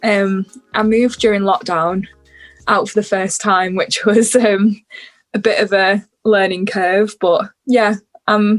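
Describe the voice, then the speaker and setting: A woman's medium-pitched, fairly slow, flat monotone in a northern English accent. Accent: northern English, slightly Scouse. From northern England, near Warrington. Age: 20s. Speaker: musician. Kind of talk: casual chat.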